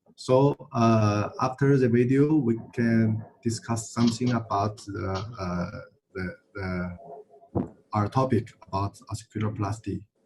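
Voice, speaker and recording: A man speaks at a medium pitch, somewhat breathy, with ordinary pitch variation. His pace is very slow. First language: Chinese. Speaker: session chair, surgeon. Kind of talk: panel moderation. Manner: halting.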